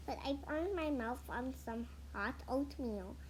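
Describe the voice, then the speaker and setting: Putting on a character voice, a woman speaks at a fairly slow pace against clear background noise. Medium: read story.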